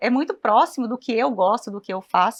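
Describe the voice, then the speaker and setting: Against a quiet background, a woman with a Goiás accent talks fairly quickly in a high pitch with lively intonation. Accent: Goiás accent, a bit like Minas Gerais. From Goiás, Brazil (Goiânia). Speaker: cooperative communications and people manager. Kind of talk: TV talk show interview.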